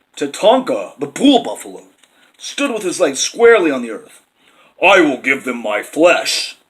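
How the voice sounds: The recording has a quiet background and a natural reading voice.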